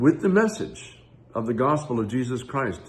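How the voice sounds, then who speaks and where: Audible room echo surrounds a man speaking at a moderate pace. His medium-pitched voice is somewhat breathy. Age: 70s. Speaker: pastor. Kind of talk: devotional talk. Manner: reflective.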